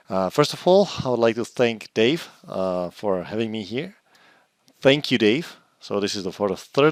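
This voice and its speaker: Recorded with a dry, close sound and no echo, a man with a Czech accent talks at a fairly slow pace in a fairly low pitch. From Czech Republic. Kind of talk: technical presentation. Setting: online conference.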